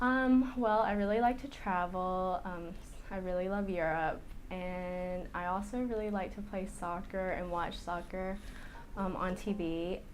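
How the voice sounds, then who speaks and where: Audible room echo around a woman's medium-pitched voice, fairly even intonation, and fairly slow pace. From US South, North Carolina. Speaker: egg donor candidate, pharmaceutical professional. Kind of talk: interview.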